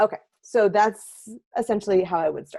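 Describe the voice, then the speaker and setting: With an energetic tone, a woman speaks at a fairly high pitch in a dry, close sound with no echo. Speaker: seminar presenter for writers. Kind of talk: recorded webinar lecture. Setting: recording alone, no live audience. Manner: fast.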